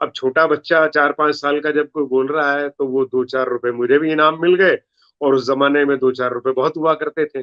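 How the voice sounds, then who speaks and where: A man's fairly high voice in a Punjabi accent, flat and monotone, with hardly any pauses. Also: moderate pace. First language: Punjabi (speaking Hindi). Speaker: comedy poet. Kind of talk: interview.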